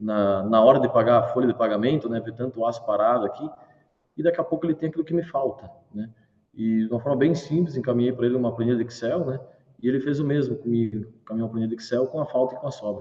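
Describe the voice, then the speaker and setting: Very fast speech from a man with a southern Brazilian accent, medium in pitch, somewhat breathy, with ordinary pitch variation. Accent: gaúcho (southern Brazilian). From southern Brazil, Rio Grande do Sul. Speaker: startup founder and CEO. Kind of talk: live interview. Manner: animated.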